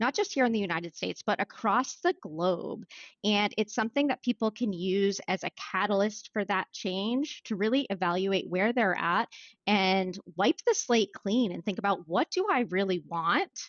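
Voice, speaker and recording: A woman with an American accent and an ordinary speaking voice, medium in pitch, with ordinary pitch variation and a moderate pace. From Maine, US. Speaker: business executive and author. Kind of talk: podcast interview.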